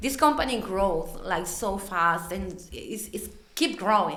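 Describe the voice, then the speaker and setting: Against noticeable background noise, a woman with a non-native accent and a medium pitch speaks at a fairly slow pace. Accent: non-native English speaker. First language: not English. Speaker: materials supervisor at a food packaging company. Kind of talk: podcast interview answer. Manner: bright, positive.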